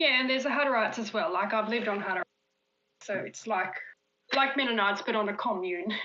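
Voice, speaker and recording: A woman speaks very fast at a fairly high pitch, leaving long, frequent pauses. Audible room echo surrounds her voice. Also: ordinary pitch variation. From Australia. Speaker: magazine editor. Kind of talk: interview. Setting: live stream.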